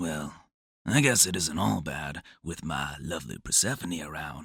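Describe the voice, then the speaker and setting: A man uses a put-on character voice that is raspy and very deep and low in pitch, speaking at a moderate pace. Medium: audio drama.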